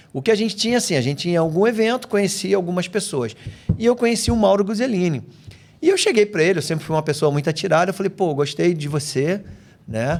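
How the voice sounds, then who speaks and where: A man in a Rio de Janeiro accent speaks at a very fast pace. His high pitch carries lively intonation. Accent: Rio de Janeiro (carioca). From Brazil, raised in several regions, much of it in Rio de Janeiro. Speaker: physical education professional. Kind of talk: casual chat.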